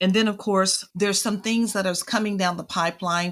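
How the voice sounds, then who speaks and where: Her medium-pitched voice moves at a moderate pace as this woman speaks. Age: 60s. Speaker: childcare and family financial literacy expert. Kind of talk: interview.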